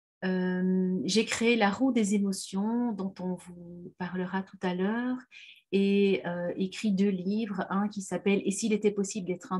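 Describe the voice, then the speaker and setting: A somewhat breathy voice at a fairly slow pace, with fairly even intonation. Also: woman. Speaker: parenting trainer and therapist. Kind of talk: webinar presentation. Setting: video webinar.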